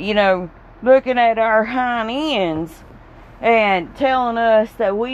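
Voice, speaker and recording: Speaking at a fairly slow pace in a Southern US accent, a woman has a fairly high pitch with ordinary pitch variation. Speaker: podcaster. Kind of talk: casual rant. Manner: animated; rambling.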